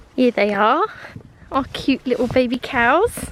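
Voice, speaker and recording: A woman with a southern English accent speaks against noticeable background noise. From south-east England, East Sussex. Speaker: lifestyle vlogger. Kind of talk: casual vlog. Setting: outdoors. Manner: soft-spoken.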